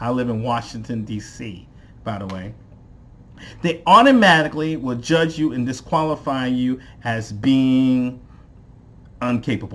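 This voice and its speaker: Fairly slow, American-accented speech with long, frequent pauses. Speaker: business coach. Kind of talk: tutorial. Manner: slow, deliberate enunciation.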